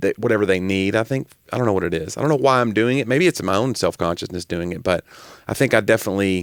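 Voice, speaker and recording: Very fast and dry, close with no echo, a man with a slight Southern US accent talks in a fairly low voice with ordinary pitch variation. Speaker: comedian and podcast co-host. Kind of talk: casual chat.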